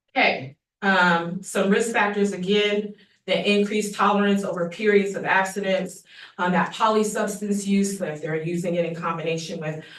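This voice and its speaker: Amid audible room echo, a woman with a medium pitch speaks at a moderate pace with fairly even intonation. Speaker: public health official. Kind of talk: presentation to county commission. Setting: public meeting.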